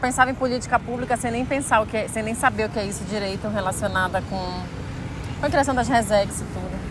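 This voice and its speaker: A woman talks very fast at a high pitch over noticeable background noise. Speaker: interviewer. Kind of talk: interview question.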